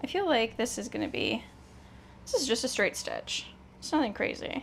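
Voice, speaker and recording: An animated woman's voice with an American accent and lively intonation, over noticeable background noise. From Canada. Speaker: sewing vlogger. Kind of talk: casual vlog chat.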